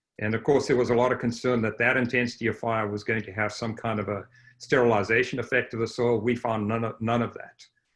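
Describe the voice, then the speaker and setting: In a Southern African accent, a man speaks at a very fast pace with a medium pitch and monotone, flat intonation against a quiet background. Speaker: range scientist. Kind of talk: panel discussion.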